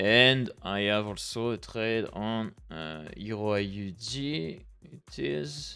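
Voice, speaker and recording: A man's fairly low voice with a French accent, over music in the background. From France. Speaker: forex trader streamer. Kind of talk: live trading stream commentary. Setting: live stream. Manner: halting, many fillers.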